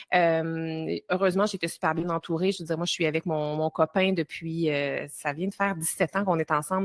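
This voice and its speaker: Against a silent background, a woman speaks at a fairly quick pace in a fairly low pitch with ordinary pitch variation. The recording is very clean, dry and close, with no echo. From Quebec. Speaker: time-management coach and entrepreneur. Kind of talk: podcast interview.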